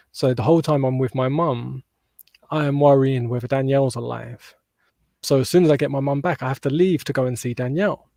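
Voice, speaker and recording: Speaking at a fairly quick pace, a man uses a medium pitch and a dark, mellow tone. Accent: British. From southern England, near London. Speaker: holistic mental health practitioner. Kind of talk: personal testimony in interview. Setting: podcast interview.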